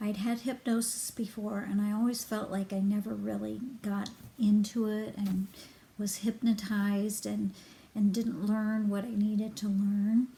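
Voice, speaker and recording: Speaking at a fairly slow pace, a woman holds a medium pitch in a monotone, flat intonation. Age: 60s. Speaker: hypnosis client giving a review. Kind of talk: testimonial. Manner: halting, many fillers.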